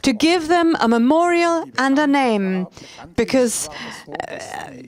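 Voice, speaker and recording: The intonation is lively, with noticeable background noise behind it. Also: woman. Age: 70s. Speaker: speaker. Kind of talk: speech.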